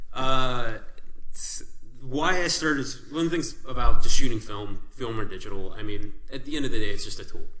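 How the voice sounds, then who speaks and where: A man speaks at a moderate pace, his loudness swinging widely. Audible room echo and noticeable background noise surround him. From Canada (Calgary, Alberta). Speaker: podcast co-host, film photographer. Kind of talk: casual chat. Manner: rambling, animated.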